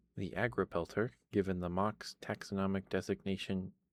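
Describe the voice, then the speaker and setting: Soft-spoken, a man talks at a fairly low pitch in a very clean recording with a silent background. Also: dry, close sound with no echo. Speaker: ASMR streamer. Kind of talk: reading aloud. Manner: halting.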